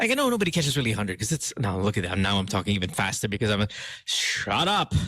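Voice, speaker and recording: Very fast and at very even loudness, a man talks at a fairly low pitch with lively intonation and a bright, sharp tone. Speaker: radio host. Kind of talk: casual chat.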